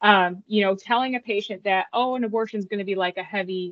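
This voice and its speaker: A woman with an American accent speaks at a medium pitch in an ordinary speaking voice. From upstate New York. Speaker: nurse sonographer, former Air Force nurse. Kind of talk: interview testimony.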